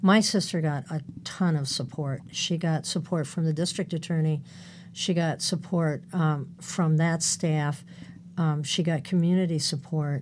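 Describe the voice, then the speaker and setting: A woman speaks at a fairly slow pace in a somewhat breathy voice, her intonation fairly even. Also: fairly low pitch for a woman. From California. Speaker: domestic violence counselor. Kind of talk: interview.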